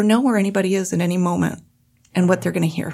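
A woman with an American accent at a very fast pace, showing vocal fry and fairly even intonation. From rural Montana. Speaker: gun safety advocate. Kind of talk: radio panel discussion. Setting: studio.

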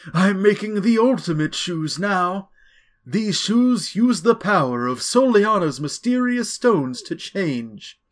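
A man in a put-on character voice speaks at a fairly slow pace, his high pitch swinging very widely. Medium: solo performance. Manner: earnest, grateful.

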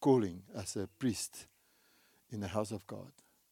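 In an Afrikaans South African accent, a man with a fairly low pitch and a dark, mellow tone speaks at a fairly slow pace with ordinary pitch variation, the sound dry and close with no echo on a very clean recording with a silent background. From South Africa, Free State. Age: 60s. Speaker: pastor. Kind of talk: sermon. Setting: church.

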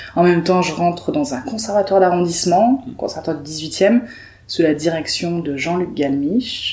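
Moderately paced speech with lively intonation, noticeable noise in the background. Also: woman, fairly low pitch for a woman. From southern France, Perpignan. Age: 20s. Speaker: improv actress. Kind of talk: casual interview.

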